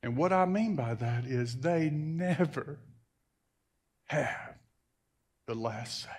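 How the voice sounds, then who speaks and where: A somewhat breathy man at a very slow pace, with lively intonation, long, frequent pauses and audible room echo. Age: 60s. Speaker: pastor. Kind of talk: sermon. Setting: church.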